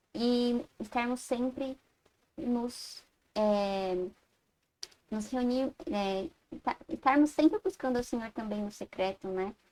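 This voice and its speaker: A woman speaks very slowly in a high voice, with ordinary pitch variation and long, frequent pauses. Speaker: Sunday school teacher. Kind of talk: Bible class lecture. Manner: halting, self-correcting.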